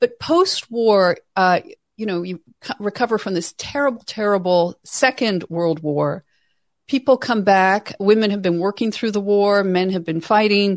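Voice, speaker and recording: In a very clean recording with a silent background and a dry, close sound with no echo, a woman with an unremarkable speaking voice talks at a fairly slow pace, medium pitch and ordinary pitch variation. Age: 50s. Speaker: author and writer on women's issues. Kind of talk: interview.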